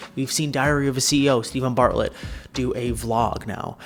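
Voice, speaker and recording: A man speaks quietly at a medium pitch with ordinary pitch variation. Music plays in the background. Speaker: social media content coach. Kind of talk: casual vlog monologue.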